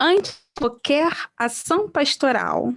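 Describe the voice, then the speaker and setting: In a Brazilian accent, a woman speaks with lively intonation. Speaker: pastoral trainer. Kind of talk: online training presentation.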